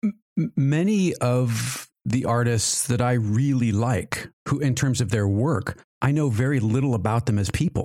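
On a very clean recording with a silent background, a man with a plain, everyday voice speaks fairly slowly at medium pitch, with ordinary pitch variation, very even loudness and hardly any pauses. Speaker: podcast host.

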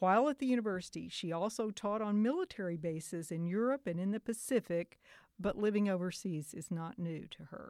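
A woman's medium-pitched voice with an American accent, ordinary pitch variation and a fairly quick pace, dry and close with no echo, a plain, everyday voice. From Oklahoma. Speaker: podcast host and local writer. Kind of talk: casual interview.

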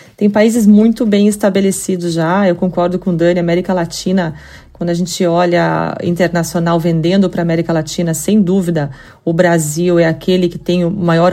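With a Curitiba accent, a woman speaks at a moderate pace in a fairly low pitch with fairly even intonation. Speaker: payments company executive. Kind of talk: podcast interview.

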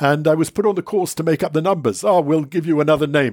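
On a very clean recording with a silent background, a man with a fairly high pitch speaks with ordinary pitch variation. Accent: London. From England. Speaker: wine writer. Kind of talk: interview. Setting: in person. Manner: halting.

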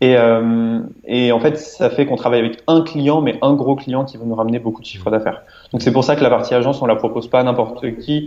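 Here is a man with an ordinary speaking voice at medium pitch. His intonation stays fairly even. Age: 20s. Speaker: entrepreneur and online marketer. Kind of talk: interview.

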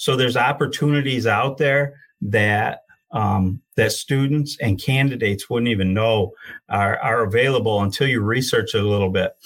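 A somewhat breathy man with an American accent talks with ordinary pitch variation. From Michigan, Genesee County. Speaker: union career and outreach coordinator, heavy equipment operator. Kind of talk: interview.

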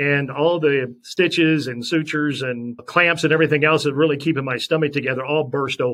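At a moderate pace, a man with a plain, everyday voice talks at fairly high pitch with fairly even intonation. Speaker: sportscaster. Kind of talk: interview, personal testimony.

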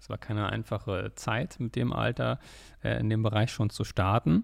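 Over a very clean recording with a silent background, a man speaks at a moderate pace with vocal fry. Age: 20s. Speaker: podcast host, trader. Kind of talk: podcast monologue.

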